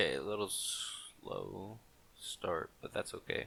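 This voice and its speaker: A man speaks quietly. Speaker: gaming content creator. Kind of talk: gameplay commentary. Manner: quiet, with long pauses; halting.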